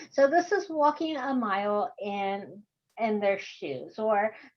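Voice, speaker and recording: A woman speaks in a Texan accent. Her intonation is lively. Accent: Texan American. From Texas. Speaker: course instructor. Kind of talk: online workshop lecture. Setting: video call.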